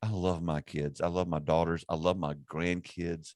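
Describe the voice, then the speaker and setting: Against a quiet background, a man with a Southern US accent speaks in a very deep, low pitch with fairly even intonation, the sound dry and close with no echo. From US South (South Carolina). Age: 50s. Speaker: ministry network executive director and podcast host. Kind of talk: casual chat. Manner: halting, with frequent repetitions.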